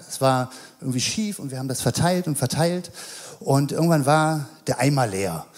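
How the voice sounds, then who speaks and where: Lively intonation marks speech delivered at a moderate pace. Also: man. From Mettmann, Rhineland, Germany. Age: 40s. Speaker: childcare worker. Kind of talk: sermon. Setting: church. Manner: halting, many fillers.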